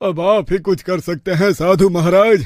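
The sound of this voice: A man's cartoonish character voice, high-pitched for a man, with fairly even intonation at a moderate pace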